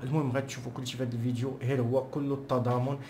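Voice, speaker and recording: In a Moroccan accent, a man speaks at a medium pitch in a flat monotone, his voice somewhat breathy. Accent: Moroccan Arabic (Darija). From Morocco. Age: young. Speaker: political commentator. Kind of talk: casual commentary to camera.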